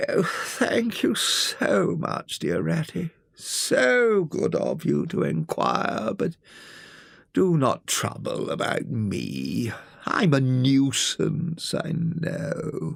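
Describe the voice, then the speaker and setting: A man uses a put-on character voice. He speaks at a very slow pace. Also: fairly high pitch for a man. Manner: polite, self-pitying.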